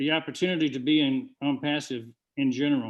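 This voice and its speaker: In a Southern US accent, a man speaks at a fairly high pitch. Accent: slow Southern US. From US South, Georgia. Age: 70s. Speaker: webinar presenter. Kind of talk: business presentation.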